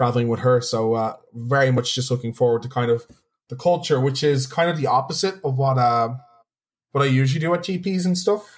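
Speaking with a Dublin accent, a man talks at a fairly quick pace. His pitch is medium and varies in an ordinary way. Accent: Irish (Dublin). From Ireland, Dublin. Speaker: competitive card game player and streamer. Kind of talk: casual chat.

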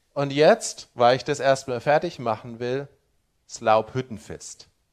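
The recording is very clean and its background silent. A man talks at a very slow pace. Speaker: preacher. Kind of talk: sermon. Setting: church. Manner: earnest, teaching tone with rhetorical 'Ja?' check-ins; pastoral, explanatory, humble hedging.

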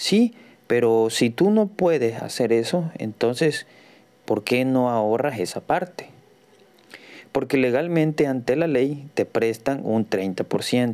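Speaking at a very slow pace, a man has a dark, mellow tone, lively intonation and very even loudness. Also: medium pitch for a man. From Mexico, Tabasco. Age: 40s. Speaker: real estate advisor and podcaster. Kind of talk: solo podcast monologue. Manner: halting, many fillers.

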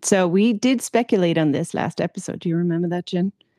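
A woman speaks in a fairly low, dark, mellow tone with ordinary pitch variation. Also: dry, close sound with no echo. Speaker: podcast co-host. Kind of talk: casual chat about mental health and nature therapy.

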